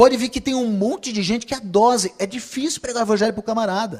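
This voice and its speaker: A man talks at a moderate pace, his high pitch showing ordinary variation. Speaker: preacher. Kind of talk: sermon.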